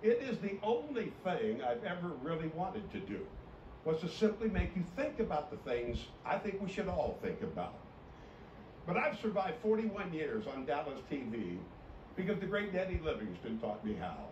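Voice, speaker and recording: Over noticeable background noise and audible room echo, a man with a high voice talks at a moderate pace, his pitch swinging very widely. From US Midwest, Iowa. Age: 70s. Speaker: TV sports anchor and commentator. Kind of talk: farewell broadcast commentary.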